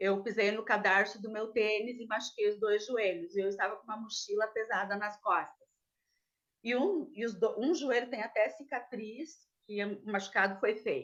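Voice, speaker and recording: Moderate pace and ordinary pitch variation from a woman with a fairly high pitch. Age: 60s. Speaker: defendant. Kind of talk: testimony. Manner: halting.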